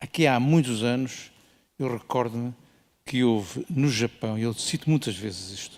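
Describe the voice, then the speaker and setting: Speaking fairly slowly, the man has a dark, mellow tone. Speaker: ophthalmologist. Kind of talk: conference panel remarks. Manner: assertive.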